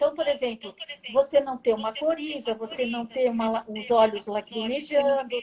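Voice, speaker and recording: A woman is speaking. Her pace is fairly slow. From Brazil. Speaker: automotive smell expert, retired engineer. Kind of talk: interview, explaining her work. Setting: Instagram live video call.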